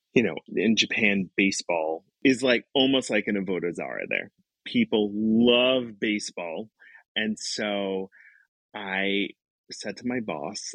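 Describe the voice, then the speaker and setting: A man speaks at a fairly slow pace in a fairly low pitch. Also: dry, close sound with no echo, quiet background. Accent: Brooklyn. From Brooklyn, New York. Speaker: educator. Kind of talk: interview storytelling.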